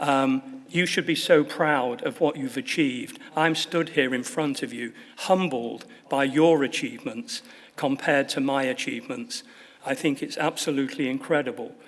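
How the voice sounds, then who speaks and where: This man speaks with a Manchester accent at a moderate pace. His pitch sits fairly high, with ordinary variation. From northern England, Manchester. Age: 70s. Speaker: honorary fellow, football assistant manager. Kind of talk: graduation speech. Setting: stage with audience.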